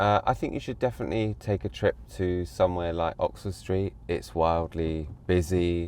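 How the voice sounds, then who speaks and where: With hardly any pauses, a man in a London accent speaks at a moderate pace, his very deep, low voice making very wide pitch swings against a quiet background. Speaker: social media manager. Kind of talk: casual chat; interview. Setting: in a car.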